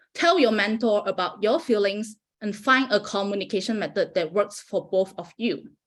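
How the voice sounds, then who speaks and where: A woman speaks with a Malaysian accent at a moderate pace. Her pitch sits in the middle range and varies in an ordinary way. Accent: Malaysian accent, noticeable. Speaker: postdoctoral researcher. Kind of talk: prepared talk.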